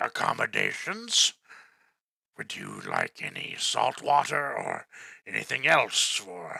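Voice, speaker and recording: At a fairly slow pace, a man does a raspy, put-on character voice at a medium pitch. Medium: actual play. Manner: polite, deferential.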